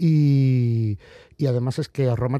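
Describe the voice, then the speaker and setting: A man with a dark, mellow tone talks at a medium pitch with ordinary pitch variation, on a very clean recording with a silent background. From Spain, Galicia. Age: 40s. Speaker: comic book author. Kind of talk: interview. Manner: halting, many repetitions.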